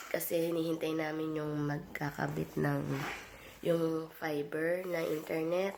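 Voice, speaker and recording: A woman's very deep, low pitch in monotone, flat intonation, with very even loudness at a fairly slow pace, plus audible room echo and noticeable background noise. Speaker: vlogger. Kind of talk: casual vlog talk.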